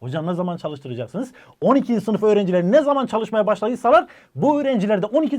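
A man with a high pitch, animated tone and lively intonation talks very fast over a quiet background. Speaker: online exam coach for university entrance students. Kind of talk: educational video talk to camera.

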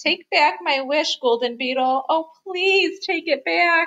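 A woman slowly delivers a put-on character voice at an extremely high pitch, bright and sharp in tone, with ordinary pitch variation.

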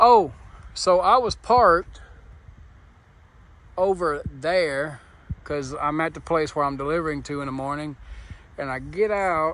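Recorded dry with no echo, a man speaks at a fairly slow pace. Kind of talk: casual vlog chat. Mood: uneasy, joking. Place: street. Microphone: phone near.

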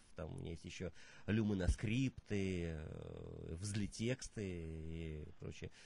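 A man's very deep, low voice with a dark, mellow tone, very slow and with ordinary pitch variation, in a dry sound with no echo and light background noise. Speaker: poet and performance artist; poet. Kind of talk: interview; poetry reading. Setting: studio. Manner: musical, rhythmic speech. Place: studio.

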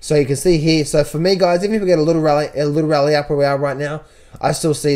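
Speaking very fast with an Australian accent, a man has a fairly high pitch, a dark, mellow tone and fairly even intonation. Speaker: trader and trading educator. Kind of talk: market analysis tutorial. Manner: casual, repetitive phrasing.

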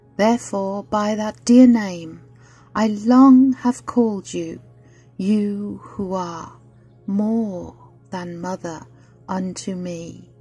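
Over music in the background, a woman speaks at a very slow pace with long, frequent pauses and big swings in loudness. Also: medium pitch for a woman, ordinary pitch variation. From Britain. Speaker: poetry reader. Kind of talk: poetry reading.

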